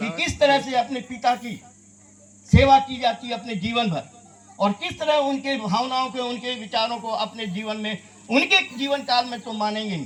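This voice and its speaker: Noticeable background noise surrounds a man speaking at an extremely high pitch. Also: ordinary pitch variation. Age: 60s. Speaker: social worker and public speaker. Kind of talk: memorial speech. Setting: stage with mic in tent before audience. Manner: oratorical, repeats lines for emphasis.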